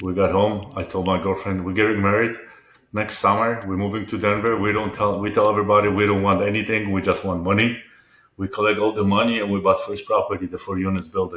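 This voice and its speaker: With a Polish accent, a man speaks at a fairly quick pace in a fairly low pitch, his intonation monotone and flat. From Poland. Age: 50s. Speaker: entrepreneur and mental health advocate. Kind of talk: interview conversation. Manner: halting, repetitive.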